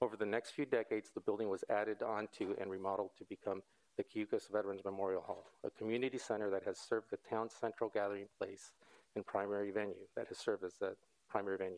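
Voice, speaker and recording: A very fast pace in a dry sound with no echo. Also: man. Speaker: presenter. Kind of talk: formal presentation. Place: hall.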